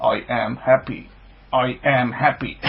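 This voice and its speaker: Using a robotic, put-on character voice, a man speaks at a fairly slow pace and a medium pitch. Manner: monotone, mechanical.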